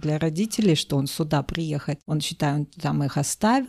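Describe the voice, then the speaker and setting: A woman speaks at a fairly quick pace in a dark, mellow tone, on a very clean recording with a silent background. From Kazakhstan, Aktobe. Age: 40s. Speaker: podcast co-host. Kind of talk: casual chat.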